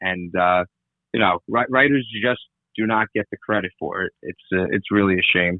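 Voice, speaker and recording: This man has an ordinary speaking voice with an American accent and a fairly low pitch. He talks at a moderate pace with ordinary pitch variation. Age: 20s. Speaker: stand-up comedian and impressionist. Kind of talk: casual interview.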